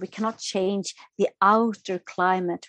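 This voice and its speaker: Dry and close with no echo, a woman's medium-pitched voice with a Swedish accent proceeds at a very slow pace. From Sweden, Stockholm. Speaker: author and yoga therapist. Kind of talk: interview. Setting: remote call.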